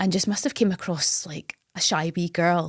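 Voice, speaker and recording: Vocal fry runs through this woman's speech, and her pitch varies in an ordinary way. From Scotland, Campbeltown, Argyll. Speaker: radio presenter. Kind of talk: podcast interview.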